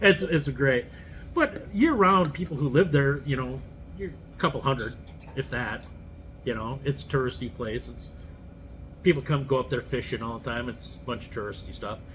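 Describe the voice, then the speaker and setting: A man with a Minnesotan accent speaks at a moderate pace, his lively intonation and vocal fry broken by long, frequent pauses and big swings in loudness. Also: medium pitch for a man. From northern Minnesota. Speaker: podcast co-host, bar owner. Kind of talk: casual chat.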